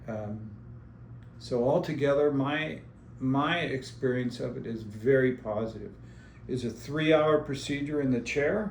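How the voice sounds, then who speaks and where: A somewhat breathy man talks at medium pitch and a fairly slow pace with ordinary pitch variation, and room echo is audible. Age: 70s. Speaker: businessman and dental patient. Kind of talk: patient testimonial interview. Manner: casual, with frequent fillers.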